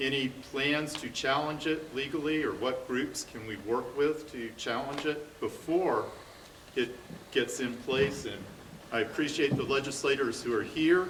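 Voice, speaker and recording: A man with a fairly high voice speaks with fairly even intonation. Room echo is audible, and there is noticeable background noise. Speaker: audience member, parent. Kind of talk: audience question at a public forum. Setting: community forum with live audience in a high school.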